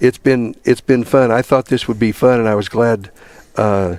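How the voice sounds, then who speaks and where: Here is a normal speaking voice with an American accent, moving at a fairly slow pace. Intonation is fairly even, and the sound is dry and close with no echo. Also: man. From Vienna area, US Midwest. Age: 60s. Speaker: alumni interviewer. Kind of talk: casual interview.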